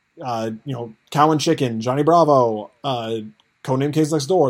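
Keeping a medium pitch and ordinary pitch variation, a man with an unremarkable speaking voice talks at a moderate pace. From US, rural farming community. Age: 20s. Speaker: podcaster. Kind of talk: casual chat.

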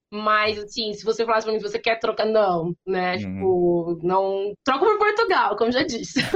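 A woman's ordinary speaking voice with ordinary pitch variation and hardly any pauses. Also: fairly high pitch for a woman, moderate pace. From interior of São Paulo state, Brazil. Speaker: language teacher and consultant. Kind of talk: interview.

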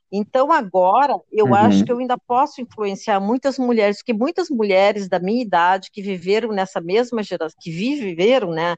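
With a normal speaking voice, a woman talks at a moderate pace and medium pitch using lively intonation, the sound dry and close with no echo. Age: 60s. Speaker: digital content creator. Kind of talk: interview.

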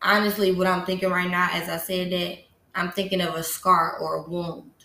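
Audible room echo surrounds a woman speaking at a medium pitch. Her intonation is monotone and flat, and her pace is fairly slow. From Detroit, Michigan. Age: 30s. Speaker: podcast host. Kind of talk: casual monologue.

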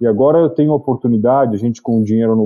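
Over music in the background, the voice keeps a fairly even intonation. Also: man. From Brazil, Itu (São Paulo state). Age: 40s. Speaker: entrepreneur and investor. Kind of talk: interview.

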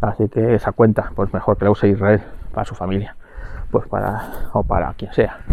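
At a moderate pace, a man with a fairly low pitch speaks over noticeable background noise. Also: fairly even intonation. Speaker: podcast host. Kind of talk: casual monologue. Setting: outdoors walking the dog. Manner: halting, many fillers.

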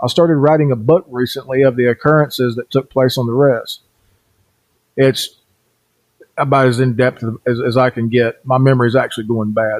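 A man with an ordinary speaking voice talks at a fairly quick pace, at a medium pitch with ordinary pitch variation. The recording is dry and close, with no echo. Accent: American. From US South, western North Carolina (Cherokee Reservation). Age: 40s. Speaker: podcast host, paranormal investigator. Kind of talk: podcast monologue, storytelling.

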